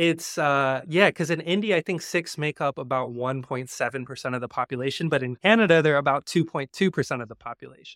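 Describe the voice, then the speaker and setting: A man with an American accent speaks at a fairly quick pace with hardly any pauses, his fairly high pitch showing ordinary variation, in a very clean recording with a silent background and a dry, close sound with no echo. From US South, Georgia. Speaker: journalist. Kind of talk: casual chat. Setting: live stream. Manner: animated.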